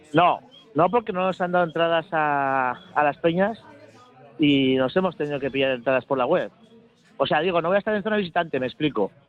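A man with an ordinary speaking voice, fairly high in pitch, at a fairly quick pace with ordinary pitch variation. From Bilbao, Spain. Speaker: football supporters club member. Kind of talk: radio interview.

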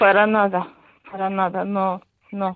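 At a very slow pace, a woman speaks in a medium-pitched voice. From Ukraine. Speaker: Ukrainian emigrant. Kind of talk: radio interview.

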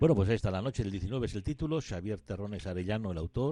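Against a quiet background, a man talks with lively intonation in a dark, mellow tone at a fairly low pitch. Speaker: radio host. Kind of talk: radio book show.

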